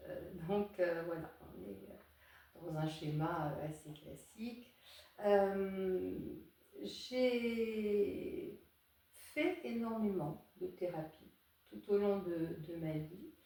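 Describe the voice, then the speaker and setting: A woman at medium pitch, somewhat breathy and dark, mellow in tone, with lively intonation at a very slow pace and audible room echo. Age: 60s. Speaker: psychotherapist and psychoanalyst. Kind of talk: interview. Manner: hesitant, many fillers.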